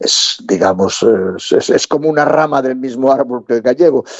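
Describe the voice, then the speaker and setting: A man with a Galician accent speaks at medium pitch and a moderate pace with lively intonation, the sound dry and close with no echo. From Galicia, Spain. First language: Galician (speaking Spanish). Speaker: theatre director and storyteller. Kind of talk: interview. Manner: halting, repeats words.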